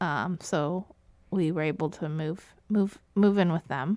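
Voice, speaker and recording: On a very clean recording with a silent background, a woman with an American accent talks at medium pitch, fairly slowly, with fairly even intonation. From Florida, US. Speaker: church family ministries director. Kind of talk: casual interview. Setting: church. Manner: hesitant, many fillers.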